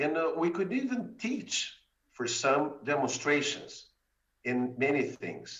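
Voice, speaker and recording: At a fairly slow pace, a man with a high-pitched voice speaks with very wide pitch swings. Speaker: mathematics education researcher. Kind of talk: conference talk.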